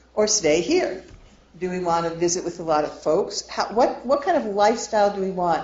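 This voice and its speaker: The room echo is audible and the background noise is noticeable. A woman with a medium pitch speaks at a fairly quick pace. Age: 60s. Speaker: financial planner. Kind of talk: lecture.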